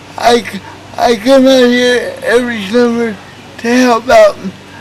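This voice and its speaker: Noticeable background noise sits behind a man with an American accent. His pitch is extremely high and his intonation fairly even. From Oklahoma, Tulsa. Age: 20s. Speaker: youth minister. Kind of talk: interview testimony. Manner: halting, stuttering.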